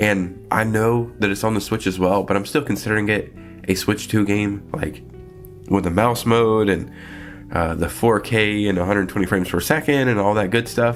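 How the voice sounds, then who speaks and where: Music plays in the background. A man speaks in a fairly low pitch. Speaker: gaming news commentator. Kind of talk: casual talk to camera.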